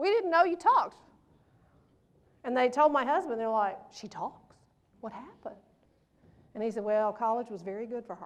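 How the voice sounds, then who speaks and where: A woman with a Mississippi accent talks at a moderate pace in a high pitch, with lively intonation, big swings in loudness, and long, frequent pauses. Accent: Southern US (Mississippi). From US South, Pontotoc, Mississippi. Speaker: motivational speaker. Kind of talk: keynote speech. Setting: stage with audience. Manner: animated.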